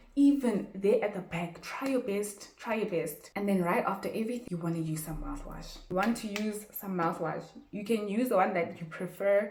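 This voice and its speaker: Over noticeable background noise, a woman with a medium pitch and an animated tone speaks with hardly any pauses and ordinary pitch variation. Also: moderate pace. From South Africa. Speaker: YouTuber. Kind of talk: casual tutorial.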